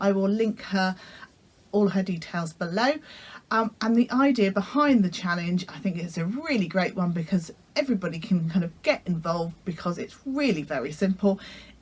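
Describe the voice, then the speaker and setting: The voice is somewhat breathy, with a British accent. Its intonation is lively and the pace is moderate. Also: woman, medium pitch for a woman. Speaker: sewing vlogger. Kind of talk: casual vlog talk. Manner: hesitant, many fillers.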